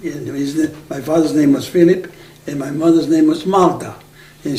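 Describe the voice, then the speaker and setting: A man with a Macedonian accent speaks at a moderate pace, his fairly high pitch moving with ordinary variation. Room echo is audible and background noise is noticeable. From Aegean Macedonia, northern Greece. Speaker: oral history interviewee. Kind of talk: oral history interview. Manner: halting.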